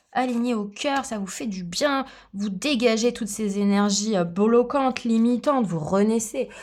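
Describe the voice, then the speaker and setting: Fairly slow speech from a woman, fairly high in pitch, with ordinary pitch variation. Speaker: tarot reader and aromatherapy coach. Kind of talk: tarot reading guidance. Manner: animated.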